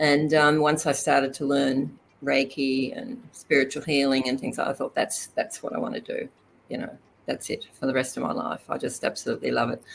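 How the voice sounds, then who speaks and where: A woman speaks with an Australian accent. Her pace is fairly quick. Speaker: complementary therapist and healer. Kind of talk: interview.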